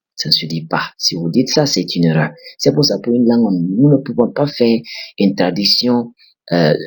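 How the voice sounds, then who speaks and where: An unremarkable speaking voice from a man, medium in pitch, lively in intonation and moderate in pace. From Burkina Faso. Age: 20s. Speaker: English teacher. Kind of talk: language lesson.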